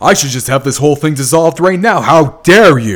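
Shouting in a put-on character voice, a man speaks at a fairly high pitch with lively intonation. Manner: furious, shouting.

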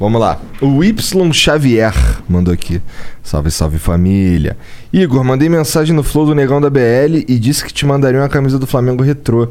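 A man with a Carioca accent talks at a moderate pace, his pitch swinging very widely over noticeable background noise. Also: medium pitch for a man. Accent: carioca Brazilian Portuguese. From Rio de Janeiro, Brazil (north zone). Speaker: podcast co-host. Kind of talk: casual podcast interview. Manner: slangy, casual.

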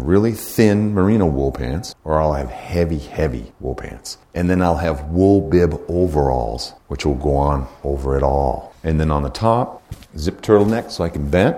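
At a moderate pace and with hardly any pauses, a man speaks in a very deep, low pitch over noticeable background noise. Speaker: hunting instructor. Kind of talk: seminar lecture. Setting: live class with audience.

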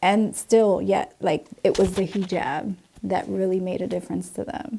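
A woman speaks with a New Jersey accent in a dark, mellow tone. The recording is very clean, with a silent background. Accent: New Jersey American English. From New Jersey, Puerto Rican family. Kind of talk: personal testimony.

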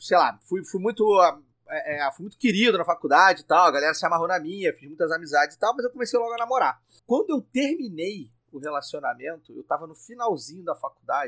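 A man with a high pitch and a bright, sharp tone, fairly quick, with very wide pitch swings and big swings in loudness, in a dry, close sound with no echo. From Rio de Janeiro state, Brazil (Petrópolis). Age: 40s. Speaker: podcaster. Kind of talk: casual chat. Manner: stammering repetitions.

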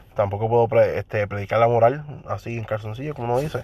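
Somewhat breathy and medium in pitch, a man talks at a fairly quick pace. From Puerto Rico. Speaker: podcaster. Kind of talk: casual monologue. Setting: in a car.

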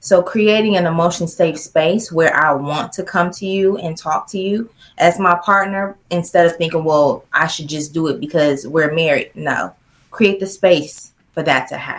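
Delivered at a moderate pace, a plain, everyday voice shows ordinary pitch variation. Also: woman, fairly low pitch for a woman. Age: 40s. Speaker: sex therapist. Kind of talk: interview.

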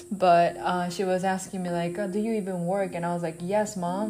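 Speaking with a Japanese accent, a woman uses medium pitch and ordinary pitch variation, with audible room echo. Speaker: podcast host. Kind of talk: casual monologue. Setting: on the road while traveling.

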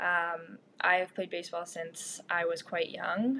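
Speaking with a Canadian accent, a woman has a fairly low pitch and a bright, sharp tone. Her pitch varies in an ordinary way. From Ontario, Canada (Georgina). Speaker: university athlete. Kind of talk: interview answers.

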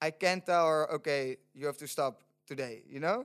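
A man with a Dutch accent, in a dry, close sound with no echo. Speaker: student sustainability organizer. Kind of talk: casual chat. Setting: studio.

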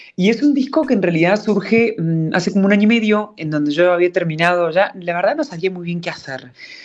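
A fairly quick pace with hardly any pauses. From Argentina, Córdoba. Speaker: singer-songwriter. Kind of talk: interview.

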